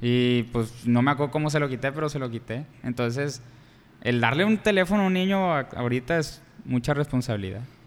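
A man talks in a normal speaking voice at a medium pitch. His pace is fairly quick and his intonation lively. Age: 20s. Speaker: podcast co-host. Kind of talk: casual chat.

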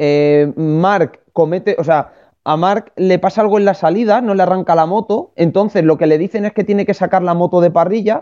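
A moderate pace with hardly any pauses. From Spain. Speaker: motorsport pundit. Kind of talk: casual chat.

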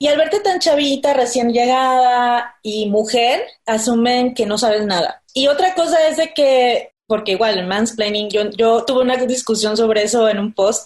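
A woman with a high pitch speaks at a fairly slow pace with lively intonation. She hardly pauses at all. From Tabasco, Mexico. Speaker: illustrator and cosplayer. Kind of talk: interview.

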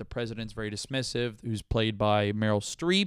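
A man with a fairly low pitch and fairly even intonation speaks at a moderate pace, the sound dry and close with no echo. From Florida (Brandon, Tampa area). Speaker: comedian and podcast host. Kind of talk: casual solo monologue. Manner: halting, many fillers and repetitions.

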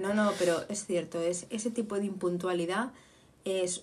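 A woman talks in an animated tone against noticeable background noise. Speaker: podcast co-host. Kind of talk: casual chat.

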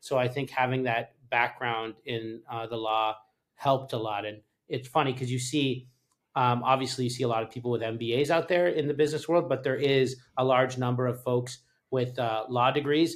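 A man with a Canadian accent talks at a moderate pace in an ordinary speaking voice, medium in pitch. His intonation stays fairly even, and the recording is very clean with a silent background. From Canada. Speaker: startup founder and former lawyer. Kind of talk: interview.

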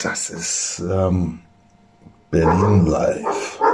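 Noticeable background noise and audible room echo surround a man speaking at a fairly low pitch. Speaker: screenwriter and podcast host. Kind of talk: casual chat. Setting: kitchen.

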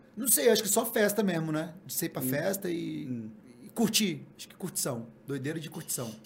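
A man speaks at a high pitch with very wide pitch swings and big swings in loudness. Audible room echo surrounds his voice. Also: moderate pace. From Guarapari, Espírito Santo, Brazil. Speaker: reality TV contestant. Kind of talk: casual chat.

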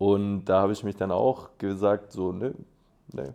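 A fairly slow pace over a quiet background. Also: man. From Swabia, Germany (Schorndorf). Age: 20s. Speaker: aerobatic glider pilot and student. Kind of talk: casual interview.

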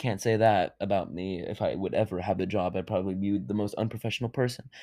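Speaking at a very fast pace, a man with a fairly low voice and a dark, mellow tone uses ordinary pitch variation against a quiet background. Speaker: solo podcaster. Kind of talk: casual monologue. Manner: calm, subdued; rambling with fillers.

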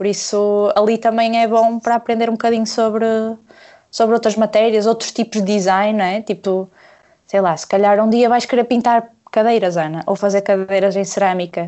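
Speaking at a moderate pace, a woman has an unremarkable speaking voice of fairly high pitch and fairly even intonation. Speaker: illustrator. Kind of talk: casual chat.

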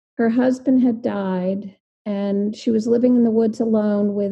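Speaking in an American accent, a woman uses a medium pitch and a monotone, flat intonation, somewhat breathy and at a fairly slow pace. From New Jersey. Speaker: visual artist. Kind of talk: casual interview.

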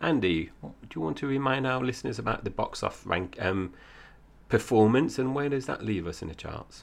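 Vocal fry is present. The intonation rises and falls in a lively way. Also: man, medium pitch for a man, moderate pace. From Essex, England. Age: 40s. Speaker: film podcast host. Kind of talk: casual film review chat.

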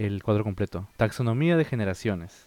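In a very clean recording with a silent background, a man speaks at a moderate pace, his fairly low voice dark and mellow in tone. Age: 30s. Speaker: podcast co-host. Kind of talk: reading aloud; casual chat. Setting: Discord call.

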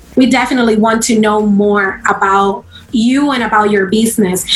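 Noticeable background noise and audible room echo surround a woman with a Spanish accent, whose fairly high voice shows ordinary pitch variation. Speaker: podcast host. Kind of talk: interview.

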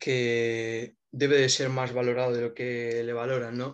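The man holds a medium pitch and talks very slowly. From Spain. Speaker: basketball fan content creator. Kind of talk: casual chat.

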